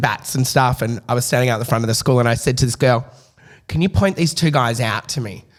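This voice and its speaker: This man talks fairly quickly with an Australian accent. Noticeable background noise runs under his voice. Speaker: TikTok creator. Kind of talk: casual chat. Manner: loud; animated.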